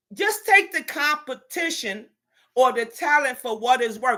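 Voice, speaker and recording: A woman speaks in a raised, projected voice with a bright, sharp, animated tone and very wide pitch swings. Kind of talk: casual chat.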